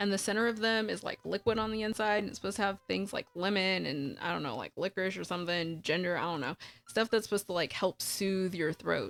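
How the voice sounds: In a put-on character voice that is hoarse and raspy, the speaker races along at a very fast pace with hardly any pauses and ordinary pitch variation. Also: woman, medium pitch for a woman.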